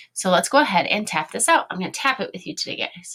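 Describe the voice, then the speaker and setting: With a Chicago accent, a woman speaks in a bright, sharp tone with lively intonation. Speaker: elementary school teacher. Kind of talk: online lesson for young children.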